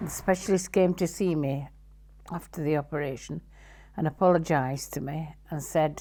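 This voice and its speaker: A woman with a Yorkshire accent and a very deep, low pitch speaks at a moderate pace with ordinary pitch variation on a very clean recording with a silent background. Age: 70s. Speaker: amputee interviewee. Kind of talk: testimony. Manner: halting.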